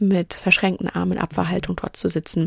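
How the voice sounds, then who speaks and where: The recording of this woman is very clean, with a silent background and a dry, close sound lacking any echo. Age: 30s. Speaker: podcast host and business coach. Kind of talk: solo podcast monologue.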